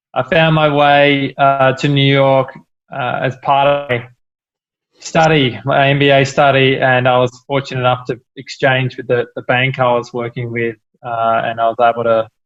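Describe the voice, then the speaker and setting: This man speaks at a moderate pace in a medium pitch. His intonation stays monotone and flat. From Australia, Melbourne. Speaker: entrepreneur, cafe company founder. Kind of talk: interview.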